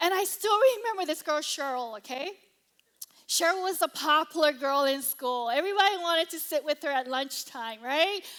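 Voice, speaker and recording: With a Hawaiian accent, a woman speaks in a high pitch, her bright, sharp tone animated and her intonation lively. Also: moderate pace. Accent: Hawaiian American English. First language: Cantonese. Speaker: pastor. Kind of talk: sermon.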